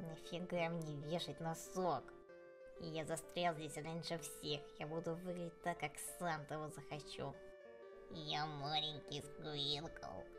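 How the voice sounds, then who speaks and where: Over loud music in the background, a put-on character voice at a middle pitch speaks at a fairly slow pace. Long pauses come often. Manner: cocky, threatening.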